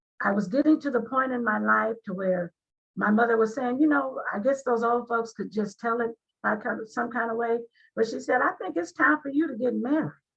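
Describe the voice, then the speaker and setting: A woman has an unremarkable speaking voice at a fairly high pitch, with ordinary pitch variation. She moves at a fairly quick pace. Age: 60s. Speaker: author. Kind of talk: interview.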